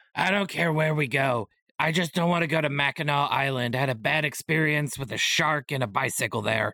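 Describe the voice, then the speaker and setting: A man's put-on character voice, fairly high-pitched and at a fairly quick pace. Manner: wry, deadpan.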